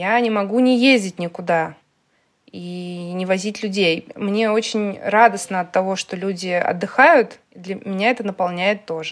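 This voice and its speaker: Her pitch sits in the medium range as a woman speaks at a moderate pace with ordinary pitch variation, an unremarkable speaking voice. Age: 30s. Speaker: tour organizer and cooking host. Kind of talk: casual interview.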